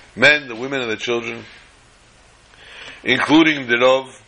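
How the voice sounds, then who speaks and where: A man speaks at medium pitch and a moderate pace with fairly even intonation. Noticeable background noise sits behind him. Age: 50s. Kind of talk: storytelling talk.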